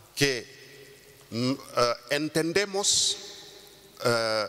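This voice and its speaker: Noticeable background noise surrounds a man speaking in a Wolof accent at a fairly high pitch. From Senegal. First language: Wolof (speaking Spanish). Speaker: intercultural mediator. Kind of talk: conference talk. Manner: halting, many fillers.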